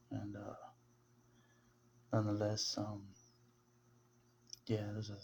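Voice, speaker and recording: A soft-spoken man with a gentle, somewhat breathy tone talks at a moderate pace. His pitch sits fairly low. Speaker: religious video blogger. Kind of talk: casual monologue. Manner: soft-spoken, low and gentle; halting, many fillers.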